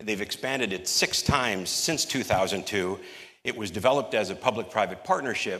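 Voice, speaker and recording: With a bright, sharp tone, a man talks at a moderate pace and ordinary pitch variation against a quiet background. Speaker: conference panel moderator presenting slides. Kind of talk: conference presentation. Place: hall. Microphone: podium.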